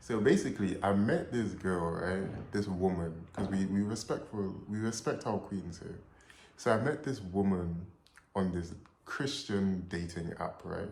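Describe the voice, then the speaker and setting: The pace is fairly slow. Room echo is audible. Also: man, fairly low pitch for a man, ordinary pitch variation. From Trinidad and Tobago heritage. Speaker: storyteller vlogger. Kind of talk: casual storytelling. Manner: animated.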